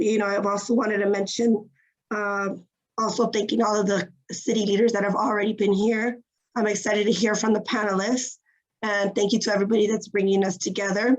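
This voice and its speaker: Her voice sits at a medium pitch for a woman, with monotone, flat intonation. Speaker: city climate commissioner. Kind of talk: virtual panel remarks.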